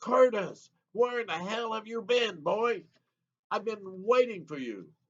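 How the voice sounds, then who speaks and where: Putting on a character voice, a man speaks loudly and gruffly at a high pitch and a fairly slow pace. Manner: boisterous, commanding.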